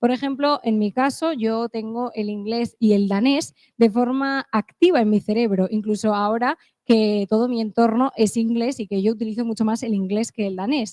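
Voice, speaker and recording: A woman with an English accent, fairly high in pitch, with ordinary pitch variation. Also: moderate pace. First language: English (speaking Spanish). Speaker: conference speaker. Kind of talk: conference talk.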